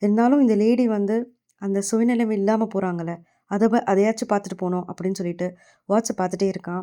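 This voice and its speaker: The woman's voice sits at a medium pitch, dark and mellow in tone. She keeps her intonation fairly even. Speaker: anime recap voice-over narrator. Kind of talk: casual anime story retelling.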